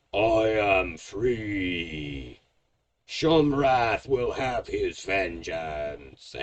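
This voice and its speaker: In a put-on character voice, a man booms loudly at a very slow pace with a fairly low pitch. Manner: vengeful, triumphant.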